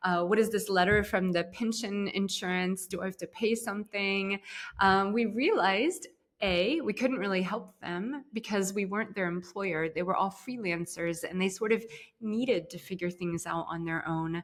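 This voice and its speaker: At a moderate pace, a woman with a plain, everyday voice speaks with an American accent, her pitch medium and its variation ordinary. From US, Ohio. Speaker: startup co-founder and CEO. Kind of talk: interview. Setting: podcast interview.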